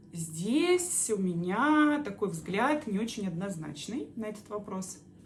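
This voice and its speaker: Amid noticeable background noise, a woman talks at a very slow pace at a medium pitch with very wide pitch swings. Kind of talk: explainer monologue answering viewer questions. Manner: halting with many filler sounds.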